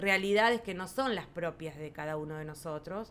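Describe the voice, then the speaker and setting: The woman's voice is fairly low in pitch, moving at a moderate pace with ordinary pitch variation. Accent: Rioplatense. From rural Buenos Aires province, Argentina. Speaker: farmers' federation president, agrarian lawyer. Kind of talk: podcast interview answer.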